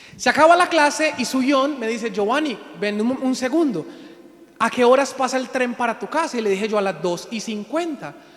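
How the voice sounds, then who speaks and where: Extremely high pitch from a man, with lively intonation and noticeable background noise. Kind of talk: sermon.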